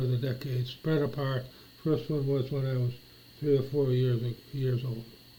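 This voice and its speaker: A man with an American accent, fairly high pitch, monotone, flat intonation, moderate pace, audible room echo. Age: 60s. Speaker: vlogger. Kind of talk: casual monologue. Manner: halting.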